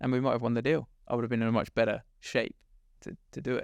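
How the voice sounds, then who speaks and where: A man's medium-pitched voice with an English accent, dry and close with no echo. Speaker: startup co-founder. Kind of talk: interview. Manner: loud.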